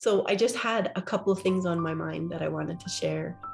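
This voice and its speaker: At a moderate pace, a woman speaks at a fairly low pitch with vocal fry. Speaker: podcaster. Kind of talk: casual podcast talk.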